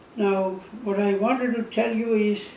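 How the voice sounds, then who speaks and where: A man speaks in a high voice at a fairly slow pace, his intonation flat and monotone. The room echo is audible, and there is noticeable background noise. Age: 80s+. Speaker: retired telephone company employee. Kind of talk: personal testimony. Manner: halting.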